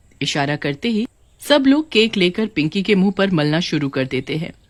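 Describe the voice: A woman's fairly low-pitched voice with big pitch swings. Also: moderate pace.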